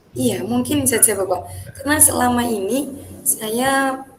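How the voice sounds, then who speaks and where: A woman with lively intonation. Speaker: teacher. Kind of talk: coaching role-play practice session.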